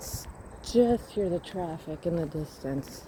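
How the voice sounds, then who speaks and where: Soft-spoken, the speaker moves at a very slow pace. Noticeable noise sits in the background. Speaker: walking vlogger. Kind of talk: casual walking vlog narration. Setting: outdoors on a riverside path. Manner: soft-spoken, quiet. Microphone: voice may be too quiet.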